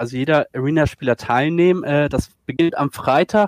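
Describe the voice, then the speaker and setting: A man at a moderate pace with ordinary pitch variation, in a dry, close sound with no echo. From northern Germany, Schleswig-Holstein. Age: 40s. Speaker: esports video editor. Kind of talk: casual chat.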